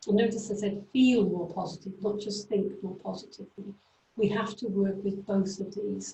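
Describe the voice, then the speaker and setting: With a Welsh accent and vocal fry, a woman of medium pitch speaks at a moderate pace in a monotone, flat intonation. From Wales. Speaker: career coach trainer. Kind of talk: lecture. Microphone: too quiet, then switched mic.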